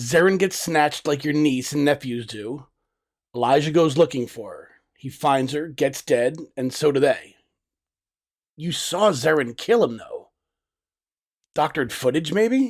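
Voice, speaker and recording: Over a very clean recording with a silent background, a man puts on a raspy, fairly high character voice, speaking at a fairly slow pace with lively intonation, big swings in loudness and long, frequent pauses. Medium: audio drama. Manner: calm, steady.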